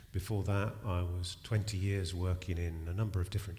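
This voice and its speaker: A man with a British accent and a very deep, low pitch speaks at a fairly quick pace, somewhat breathy, with fairly even intonation and audible room echo. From UK. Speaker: charity director. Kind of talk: panel discussion. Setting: stage with live audience.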